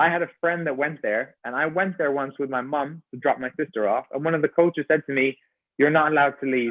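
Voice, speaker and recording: With an Irish accent, a man talks at a very fast pace. His pitch is fairly high, with ordinary variation. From Ireland. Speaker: personal trainer and gymnastics coach. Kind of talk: podcast interview.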